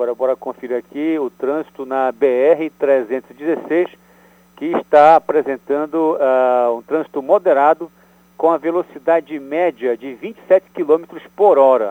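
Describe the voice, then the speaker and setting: Sound is dry and close, without echo. A man talks very slowly, his pitch varying in an ordinary way. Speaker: radio reporter. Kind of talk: news reporting.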